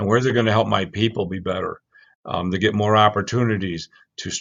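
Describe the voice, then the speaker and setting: This man's voice sits fairly low and his intonation stays fairly even. He talks at a fairly quick pace. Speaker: technology company CEO. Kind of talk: casual interview. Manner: loud; blunt, matter-of-fact.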